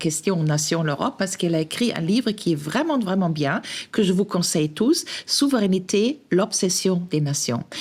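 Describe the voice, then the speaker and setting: Fairly low in pitch, a woman speaks with a non-native accent at a moderate pace. Her intonation is lively. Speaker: podcast host. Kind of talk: podcast interview. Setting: café. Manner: hesitant, many fillers.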